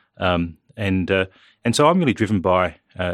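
A man with an Australian accent and very deep, low pitch, in a very clean recording with a silent background. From Australia, New South Wales Central Coast. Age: 30s. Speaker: politician. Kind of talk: interview. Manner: halting, many fillers and repeats.

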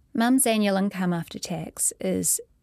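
A woman with a New Zealand accent, in a dry, close sound with no echo. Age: 30s. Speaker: writer. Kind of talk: reading aloud.

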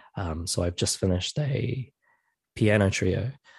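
Against a quiet background, a man speaks with a New Zealand accent. His pitch is fairly low. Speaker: composer. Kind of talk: interview. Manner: hesitant, many fillers.

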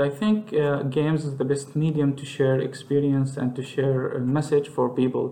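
A man with an Arabic accent speaks at a fairly high pitch with fairly even intonation. There is noticeable background noise. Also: moderate pace. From Palestine. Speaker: software engineer and indie game developer. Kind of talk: interview. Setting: Skype call from his office. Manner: halting.

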